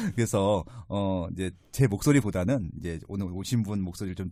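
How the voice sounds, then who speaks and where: With a dark, mellow tone, a man speaks at a fairly low pitch using lively intonation. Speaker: real estate podcast host. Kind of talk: interview podcast. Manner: conversational, with fillers.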